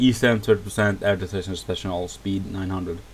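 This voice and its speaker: Vocal fry runs through speech at a moderate pace with ordinary pitch variation. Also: man. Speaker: video game reviewer. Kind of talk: gameplay tutorial. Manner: casual, halting.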